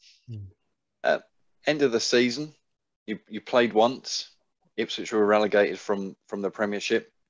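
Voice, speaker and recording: A man speaks at a moderate pace and a fairly low pitch, his intonation fairly even but his loudness swinging widely. He leaves long, frequent pauses against a quiet background. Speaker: sports podcast host. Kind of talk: casual interview. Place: home room. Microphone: headset.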